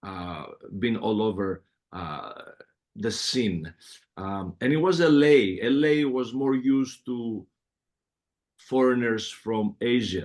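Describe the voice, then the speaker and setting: In a strong Greek accent, the speaker goes at a very slow pace with lively intonation and long, frequent pauses. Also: man, medium pitch for a man. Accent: heavy Greek. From Greece, Athens. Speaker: music producer. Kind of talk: interview.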